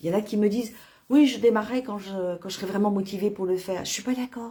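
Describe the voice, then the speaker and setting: This woman talks at a moderate pace with a fairly high pitch. Her voice is somewhat breathy. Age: 60s. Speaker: nutrition product distributor. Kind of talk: sales pitch. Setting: Facebook live video. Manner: halting, many fillers.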